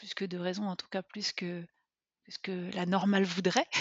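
Speaking at a medium pitch, a woman delivers her words in a monotone, flat intonation. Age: 30s. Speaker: podcast listener, mother. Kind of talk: personal testimony interview. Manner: hesitant, many fillers.

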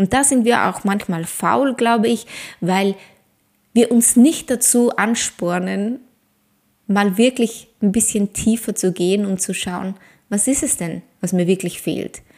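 At a medium pitch, a woman speaks in an ordinary speaking voice with ordinary pitch variation. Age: 40s. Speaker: ayurveda coach and podcast host. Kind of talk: solo podcast monologue; promotional pitch.

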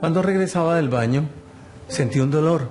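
At a moderate pace, a man with a fairly high pitch and ordinary pitch variation talks in audible room echo. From Colombia. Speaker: insurance customer, heart attack survivor. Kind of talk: testimony.

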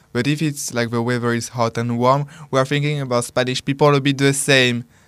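A man's medium-pitched voice at a fairly quick pace, with fairly even intonation on a very clean recording with a silent background. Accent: French. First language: French. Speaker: radio co-host. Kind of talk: casual chat. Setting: studio.

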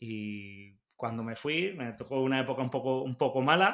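Here the speaker is male, with a medium pitch. Ordinary variation shapes his pitch. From southern Spain. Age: young. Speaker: motorcycle mechanic and workshop owner. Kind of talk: casual interview chat.

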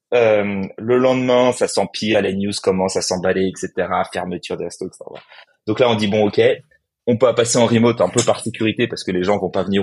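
A man's fairly low-pitched, unremarkable speaking voice at a moderate pace. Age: 30s. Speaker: startup co-founder. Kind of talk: interview.

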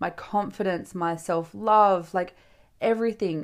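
A woman's animated, medium-pitched voice with an Australian accent, ordinary pitch variation and a moderate pace, on a very clean recording with a silent background. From Western Australia. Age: 20s. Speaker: podcast host, TikTok creator. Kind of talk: solo casual monologue. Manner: animated, chatty.

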